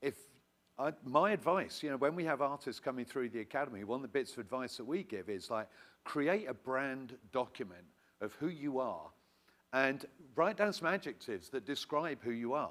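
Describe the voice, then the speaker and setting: With a British accent, a man speaks at a moderate pace in a medium pitch, his intonation lively. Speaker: songwriting academy representative. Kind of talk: audience comment at workshop.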